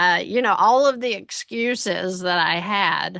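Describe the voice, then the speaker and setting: In a quiet background, a woman with a Tennessee accent speaks at a medium pitch with ordinary pitch variation. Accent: Tennessee Southern. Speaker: financial business owner, consulting client. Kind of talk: interview testimony. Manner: halting, many fillers.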